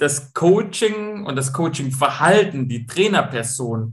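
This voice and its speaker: A man speaks very slowly with a Swabian accent and a somewhat breathy sound. His pitch swings very widely. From Swabia, Stuttgart (southwest Germany). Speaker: football coach and mental training entrepreneur. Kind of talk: interview.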